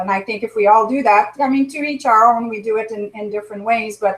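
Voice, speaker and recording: This woman has a fairly high pitch. She talks at a moderate pace. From Quebec or French Ontario, small francophone town. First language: French. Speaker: chiropractor. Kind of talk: interview.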